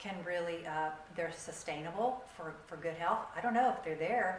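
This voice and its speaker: A woman's fairly low-pitched voice with ordinary pitch variation at a moderate pace, with audible room echo and noticeable background noise. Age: 60s. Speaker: keto community group leader. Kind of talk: workshop presentation. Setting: community meeting with audience.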